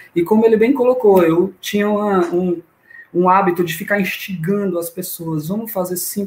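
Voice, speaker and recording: His voice high, a man speaks with ordinary pitch variation. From Brazil, Fortaleza, Ceará. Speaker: amateur runner. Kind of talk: casual chat.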